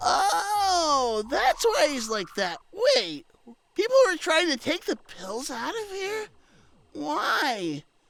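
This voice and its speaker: In a put-on character voice, a man speaks very slowly at an extremely high pitch. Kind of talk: audio drama character dialogue. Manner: hesitant, stammering.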